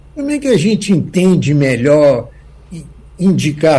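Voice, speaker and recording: Somewhat breathy, a man's voice makes very wide pitch swings amid audible room echo. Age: 80s. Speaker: jurist and law professor. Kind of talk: radio interview.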